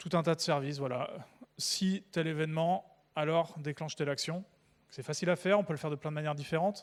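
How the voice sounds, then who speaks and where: Talking at a very fast pace yet leaving long, frequent pauses, a man with a fairly high pitch keeps his intonation fairly even. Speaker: conference speaker, developer evangelist. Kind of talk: conference talk. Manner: casual, hesitant with fillers.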